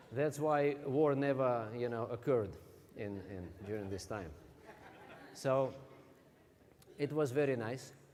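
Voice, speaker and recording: Noticeable background noise and audible room echo surround a man with a Russian accent. He speaks at a fairly slow pace with ordinary pitch variation. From Russia (Siberia). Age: 40s. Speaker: motivational speaker. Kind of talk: stage talk. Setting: stage with audience.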